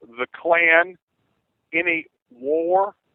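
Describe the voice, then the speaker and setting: A man with a Southern US accent talks in a fairly high pitch. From US South, Clarksdale, Mississippi. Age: 50s. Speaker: caller. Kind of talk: political talk radio discussion. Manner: halting, many fillers and repeats.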